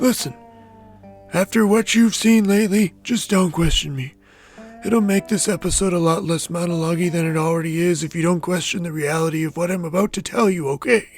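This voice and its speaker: Over faint music in the background, a man puts on a character voice with a high pitch, talking at a fairly quick pace with ordinary pitch variation. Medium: audio drama. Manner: folksy, fatherly.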